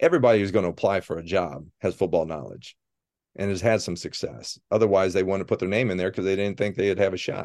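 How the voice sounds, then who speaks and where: Over a quiet background, a man with a Midwestern American accent and a fairly low pitch speaks very fast with ordinary pitch variation. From Ohio, US Midwest. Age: 50s. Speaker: football coach. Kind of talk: casual interview.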